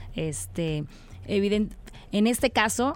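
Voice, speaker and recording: A woman's voice of medium pitch. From Tabasco, Mexico. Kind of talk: casual radio interview. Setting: radio studio. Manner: halting, filler-heavy.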